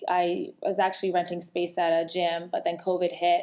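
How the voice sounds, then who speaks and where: A woman talks at a fairly quick pace. She has a slight Rhode Island accent. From Rhode Island, US. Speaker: fitness coach and podcast co-host. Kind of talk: casual podcast chat.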